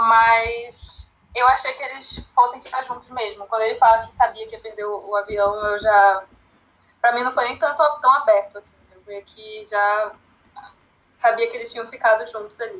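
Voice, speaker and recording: Using an unremarkable speaking voice, a woman talks at a moderate pace with a fairly high pitch, fairly even intonation and big swings in loudness. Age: 20s. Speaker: literature educator, founder of a language school project. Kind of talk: casual chat.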